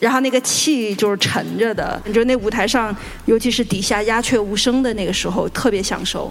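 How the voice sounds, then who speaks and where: Music plays in the background as a woman speaks at a moderate pace. Her voice is fairly high with ordinary pitch variation. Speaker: guqin musician. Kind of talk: panel discussion. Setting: stage with audience.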